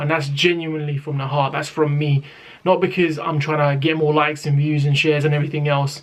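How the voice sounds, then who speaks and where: With a strong British accent, a man speaks in a fairly high pitch and a monotone, flat intonation. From Britain. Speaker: rapper and YouTuber. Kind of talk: casual talk to camera.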